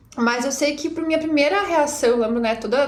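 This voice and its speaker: There is audible room echo and noticeable background noise as a woman speaks with ordinary pitch variation. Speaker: teacher. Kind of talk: reflective monologue. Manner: fast.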